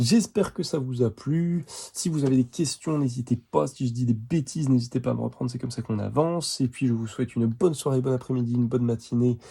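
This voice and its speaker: At a very fast pace, a man talks with a dark, mellow tone at a medium pitch and ordinary pitch variation. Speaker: art supplies reviewer. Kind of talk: product review tutorial. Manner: halting, stumbling.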